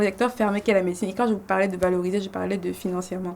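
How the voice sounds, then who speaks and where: This woman's voice sits at a medium pitch. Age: 20s. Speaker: medical student. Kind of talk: podcast interview. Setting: studio.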